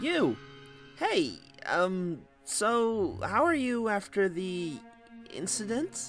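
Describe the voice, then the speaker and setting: A put-on character voice with a fairly high pitch swings very widely, moving at a very slow pace with long, frequent pauses. Clear music plays in the background. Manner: cheerful, goofy, easily pushed around.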